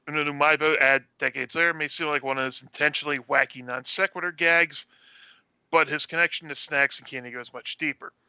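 A man speaks in a normal speaking voice, pitched fairly high for a man. His intonation stays fairly even at a fairly quick pace. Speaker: podcast co-host. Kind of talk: casual chat.

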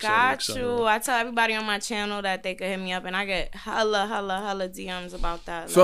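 Music plays in the background as a woman speaks at a fairly quick pace with hardly any pauses. Her medium pitch carries fairly even intonation. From New York, living in Atlanta. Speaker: podcast guest, actress for videos and skits. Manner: casual, playful.

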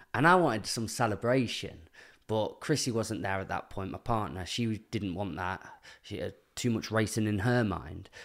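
A man with a British accent and a fairly low pitch talks at a moderate pace with lively intonation on a very clean recording with a silent background. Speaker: podcast guest. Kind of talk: casual interview chat.

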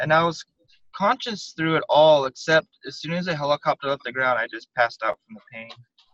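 Fairly high-pitched and bright with a sharp tone, a man talks at a fairly quick pace with lively intonation in a Southwestern US accent, the sound dry and close with no echo. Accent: American (US Southwest). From Arizona, Tucson. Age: 30s. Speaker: spinal cord injury survivor. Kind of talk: interview.

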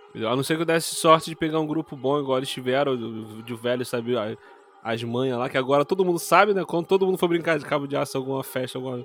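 A man talks at a very fast pace with a fairly high pitch and ordinary pitch variation. Noticeable background noise runs behind him. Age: 30s. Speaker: podcast co-host. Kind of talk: casual chat.

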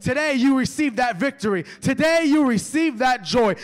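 With an American accent, the speaker uses an animated tone at a fairly slow pace. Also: man. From New York. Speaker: evangelist preacher. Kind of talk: revival sermon. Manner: animated, fervent, call-and-response; loud, impassioned, rising to shouts of praise.

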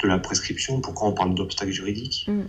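A man speaks at a moderate pace. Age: 30s. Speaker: abuse survivor giving testimony. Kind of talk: testimony. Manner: halting.

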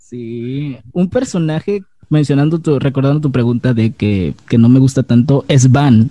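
Speaking fairly slowly with a Mexican accent, the man shows ordinary pitch variation. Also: medium pitch for a man. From Mexico, Acapulco, Guerrero. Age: 20s. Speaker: youtuber. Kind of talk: casual chat.

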